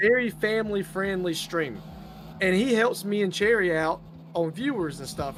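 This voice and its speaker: With a strong Southern US accent, a man talks at a moderate pace in a high pitch with lively intonation amid noticeable background noise. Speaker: gaming streamer. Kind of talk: casual chat.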